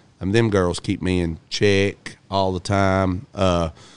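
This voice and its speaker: A man with an American accent speaks in a very deep, low pitch. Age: 50s. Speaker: girls' basketball coach. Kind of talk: casual chat. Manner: animated.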